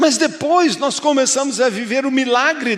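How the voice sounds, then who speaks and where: A man's extremely high voice proceeds at a fairly slow pace. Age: 60s. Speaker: pastor. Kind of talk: sermon.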